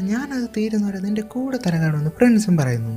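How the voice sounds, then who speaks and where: With music in the background, a woman at a fairly high pitch speaks with very wide pitch swings. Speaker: movie explainer. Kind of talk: movie plot narration.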